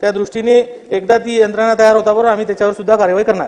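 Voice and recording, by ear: A man talks at a very fast pace in a high voice with a slightly mellow tone. His pitch moves very little.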